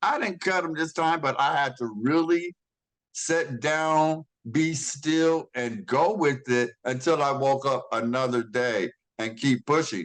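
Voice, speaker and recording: Against a quiet background, a man with a fairly high pitch and ordinary pitch variation talks in a plain, everyday voice. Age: 60s. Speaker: congregation member sharing. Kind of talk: testimony.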